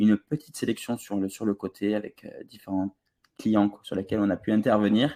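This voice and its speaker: Speaking at a moderate pace, a man has a slight southern French accent and a dark, mellow tone. The sound is dry and close with no echo. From southern France, Toulouse. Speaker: online ads trainer. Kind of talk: webinar presentation. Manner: hesitant, many filler sounds.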